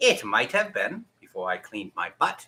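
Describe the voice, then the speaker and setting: This man talks at a moderate pace in a put-on character voice. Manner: nonchalant, casual.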